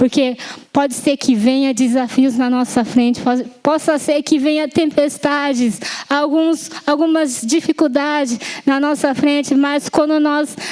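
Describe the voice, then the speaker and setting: A woman speaks at a fairly slow pace in a high voice with fairly even intonation. Noticeable background noise is present. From Japan, Yamanashi. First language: Japanese (speaking Portuguese). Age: 20s. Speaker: lay preacher. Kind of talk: sermon. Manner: halting, with self-corrections and fillers.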